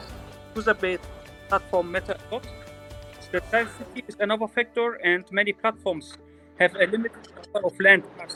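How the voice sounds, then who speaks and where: Over background music, a high-pitched man speaks at a moderate pace with fairly even intonation, the sound dry and close with no echo. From Turkey. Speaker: real estate company owner. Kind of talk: interview answer. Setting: online audio chat.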